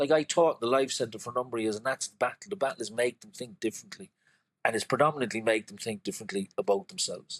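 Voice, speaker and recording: A man at a very fast pace and medium pitch, with lively intonation and big swings in loudness, in a dry, close sound with no echo. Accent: Cork. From Cork, Ireland. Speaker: creative director, poet and artist. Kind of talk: podcast interview answer.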